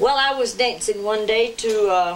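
Light background noise sits behind a woman speaking. She has a Southern Appalachian accent and a fairly high pitch. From Jackson County, western North Carolina. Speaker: clog and buck dancer. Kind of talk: interview answer. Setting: home recording. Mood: warm, reminiscing. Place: home room.

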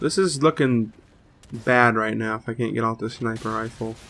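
A man speaks at a medium pitch and a moderate pace, with a fairly bright tone and ordinary pitch variation.

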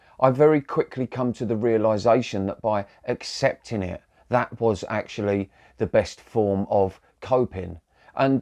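Against a quiet background, a man speaks at a fairly slow pace. His pitch varies in an ordinary way. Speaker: spiritual coach. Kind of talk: casual vlog talk. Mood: calm, reflective. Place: home room. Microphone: lapel.

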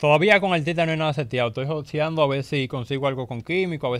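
Talking at a very fast pace, a man uses ordinary pitch variation, and the sound is dry with no echo. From Dominican Republic, Las Terrenas, Samaná; Dominican Republic. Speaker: rapper; interview guest. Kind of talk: casual interview. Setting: radio studio. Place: studio. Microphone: studio mic.

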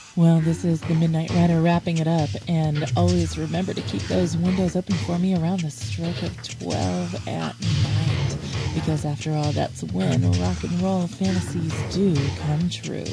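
A woman speaks in a dry recording with no echo while loud music plays behind her. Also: moderate pace. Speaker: radio DJ. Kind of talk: radio DJ aircheck. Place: studio.

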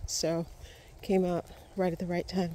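A woman's somewhat breathy voice comes through dry, with no echo. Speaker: hiking vlogger. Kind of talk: walking vlog narration. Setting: outdoors on a forest trail. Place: forest. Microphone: phone near.

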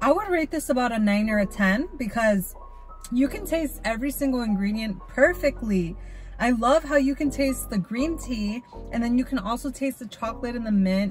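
A woman talks at a moderate pace in a high pitch. The sound is dry with no echo, with faint music in the background. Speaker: drink reviewer. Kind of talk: casual vlog chat. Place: car. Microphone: phone near.

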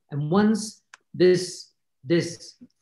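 A man's voice with audible room echo over a quiet background. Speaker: filmmaker. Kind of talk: panel discussion. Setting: video call. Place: home room. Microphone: video call.

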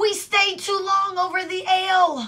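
A woman's put-on character voice, extremely high in pitch, bright and sharp in tone, with fairly even intonation. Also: fairly slow pace.

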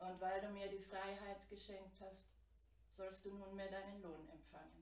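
The words are read aloud in a natural voice.

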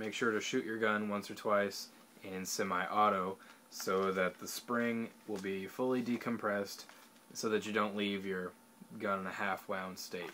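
This is an ordinary speaking voice with fairly even intonation. Light background noise can be heard. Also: man. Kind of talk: tutorial. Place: home room. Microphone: webcam.

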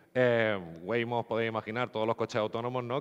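Over a quiet background, a man with a fairly low pitch speaks at a very fast pace. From Andalusia, Spain (Nerja, Málaga); Andalusia. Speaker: geospatial software developer; conference speaker. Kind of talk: conference talk. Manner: hesitant, repeats words. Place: hall.

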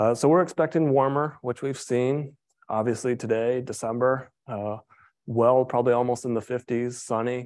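A man with an American accent and an ordinary speaking voice, at medium pitch and moderate pace with fairly even intonation, against a quiet background. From US Midwest. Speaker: forestry professor. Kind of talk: lecture. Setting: lecture hall with audience, also streamed on Zoom.

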